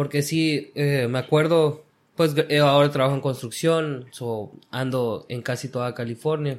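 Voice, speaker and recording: In a very clean recording with a silent background, a man with a plain, everyday voice speaks fairly slowly at a fairly high pitch with fairly even intonation. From Guatemala. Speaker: construction worker. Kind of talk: casual chat. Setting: at the guest's home.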